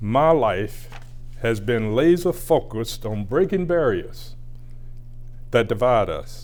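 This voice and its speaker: In a Southern US accent, a man speaks very slowly at a medium pitch with lively intonation. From US South, rural Georgia. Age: 80s+. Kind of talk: prepared acceptance speech. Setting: recorded address for award. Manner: measured, formal delivery.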